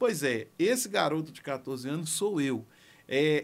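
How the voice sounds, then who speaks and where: Over a silent background in a very clean recording, a man talks with lively intonation. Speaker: music producer. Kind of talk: personal story monologue. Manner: slow.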